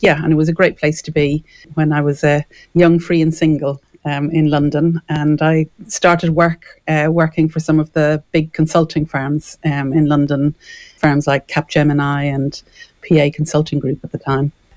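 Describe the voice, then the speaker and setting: In an Irish accent, a woman with a very deep, low voice speaks at a moderate pace in a monotone, flat way, the sound dry and close with no echo. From Ireland, Dublin. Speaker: property developer and consultant. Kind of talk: radio interview.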